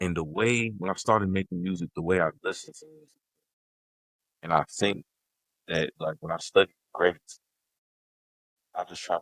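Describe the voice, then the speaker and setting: Dry, close sound with no echo, fairly even intonation, big swings in loudness and long, frequent pauses. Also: man. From Gary, Indiana. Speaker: rapper. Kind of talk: interview answer. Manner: casual, reflective.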